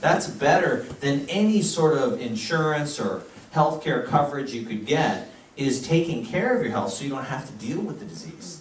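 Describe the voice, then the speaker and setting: A man with an American accent and a fairly high pitch speaks at a moderate pace, with very wide pitch swings and big swings in loudness, amid audible room echo and noticeable background noise. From United States. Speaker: physician giving health talks. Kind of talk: health lecture.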